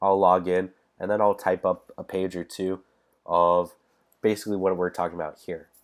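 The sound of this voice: At a moderate pace, a man speaks in a nasal voice with a low pitch.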